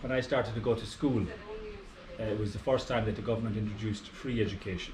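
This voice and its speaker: A man with an Irish accent talks at a very fast pace in a fairly low voice with fairly even intonation. Audible room echo and noticeable background noise fill the recording. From Ireland, rural farming area. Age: 60s. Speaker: retired aviation professional. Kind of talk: casual chat.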